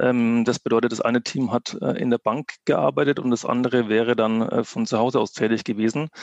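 A man at medium pitch, fairly quick and with hardly any pauses, ordinary pitch variation, very even loudness, and a dry, close sound with no echo. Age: 20s. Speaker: app founder, former bank employee. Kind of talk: interview. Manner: hesitant, many filler sounds.

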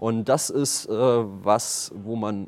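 A man with an unremarkable speaking voice speaks at a fairly low pitch with fairly even intonation. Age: 30s. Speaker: startup founder and managing director. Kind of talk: interview.

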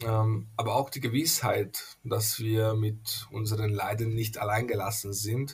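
Somewhat breathy and medium in pitch, a man speaks at a very slow pace with hardly any pauses and a monotone, flat intonation. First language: Hungarian (speaking German). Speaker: pastor. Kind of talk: interview. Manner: halting, many fillers.

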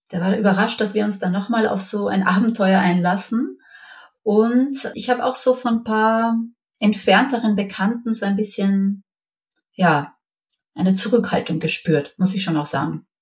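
A somewhat breathy woman speaks at a moderate pace, her medium pitch showing ordinary variation. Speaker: mother sharing her experience. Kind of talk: interview, personal testimony.

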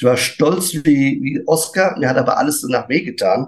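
A man speaks very slowly with lively intonation. His pitch sits fairly high. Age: 50s. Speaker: barefoot shoe retailer. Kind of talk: casual chat.

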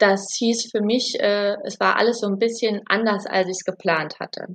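A woman's fairly high voice at a moderate pace. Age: 30s. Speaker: new mother sharing birth story. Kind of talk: interview testimony. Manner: halting, many fillers.

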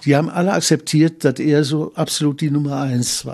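In a Cologne accent, a man speaks at a moderate pace with a fairly high pitch. His tone is dark and mellow against a quiet background. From Cologne, Germany. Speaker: carnival historian and author. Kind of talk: interview recollection.

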